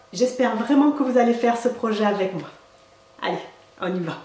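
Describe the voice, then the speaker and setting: Speaking with a southern French accent, a woman has a warm tone, fairly high pitch and ordinary pitch variation at a moderate pace. Audible room echo and noticeable background noise are present. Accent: southern French accent, stronger today. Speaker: craft tutorial maker and product seller. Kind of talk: tutorial. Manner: warm and chatty.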